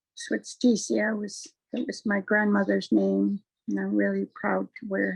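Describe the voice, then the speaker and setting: A woman talks at a very slow pace, her voice dry and close with no echo. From Malahat Nation, Vancouver Island, Canada. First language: Halkomelem. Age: old. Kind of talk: opening blessing.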